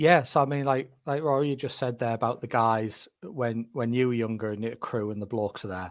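In a Northeast English accent, a man speaks at a fairly quick pace. His pitch is medium, with ordinary variation. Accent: Northeast English, Durham. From northeast England, County Durham. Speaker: football scout. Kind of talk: casual interview chat.

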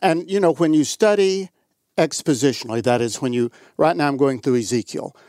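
A man with a normal speaking voice talks at a medium pitch with lively intonation, recorded very cleanly against a silent background, the sound dry and close with no echo. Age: 60s. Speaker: pastor. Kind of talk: casual chat. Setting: studio.

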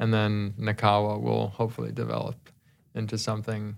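Over music in the background, a man with an American accent talks at a fairly quick pace, his fairly low pitch held in fairly even intonation. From US Northeast, New Jersey. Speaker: professional golfer. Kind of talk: interview. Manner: casual, hesitant with repetitions.

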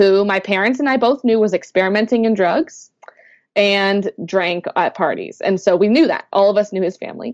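Pace is moderate, with ordinary pitch variation. The sound is dry and close, with no echo. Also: woman, medium pitch for a woman. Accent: slight Canadian. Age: 20s. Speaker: author. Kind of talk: interview.

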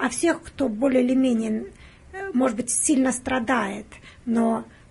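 This woman has a high voice and talks fairly slowly over noticeable background noise. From Russia, Penza. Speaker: hospital patient navigator, guest interviewer. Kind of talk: interview. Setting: studio.

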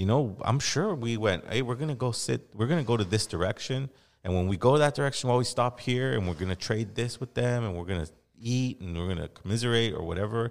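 On a very clean recording with a silent background, a man with an American accent uses an ordinary speaking voice at medium pitch, talking at a fairly quick pace with lively intonation. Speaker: podcast host and hip hop artist. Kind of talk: casual interview chat.

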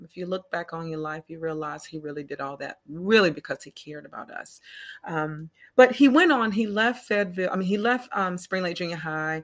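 An ordinary speaking voice from a woman with an American accent, fairly low in pitch, fairly quick, with lively intonation, big swings in loudness and a quiet background. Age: 40s. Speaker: podcast host. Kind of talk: casual interview chat.

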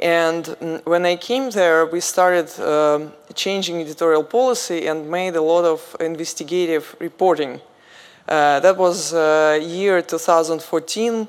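A woman speaks fairly slowly with a Russian accent. Her voice is fairly low, with ordinary pitch variation. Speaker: journalist, media founder. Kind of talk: panel discussion. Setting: stage with audience.

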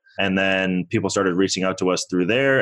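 Against a quiet background, a man talks with fairly even intonation at a very deep, low pitch. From born in Toronto, raised in US. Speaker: real estate investor. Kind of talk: interview.

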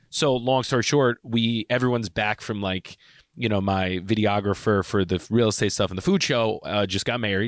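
A man with an unremarkable speaking voice talks at a fairly quick pace, his pitch fairly low with ordinary variation, in a very clean recording with a silent background and a dry, close sound with no echo. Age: 30s. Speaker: podcast co-host, real estate agent. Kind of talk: casual chat.

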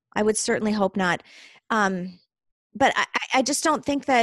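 Recorded with a dry, close sound and no echo, a woman with an unremarkable speaking voice talks at a fairly quick pace and fairly high pitch. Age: 40s. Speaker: small business owner. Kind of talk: interview.

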